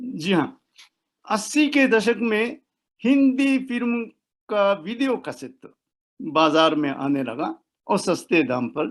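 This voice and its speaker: His pitch is high and swings very widely. The man leaves long, frequent pauses. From Japan, Osaka. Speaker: professor of Hindi. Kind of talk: interview. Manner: halting.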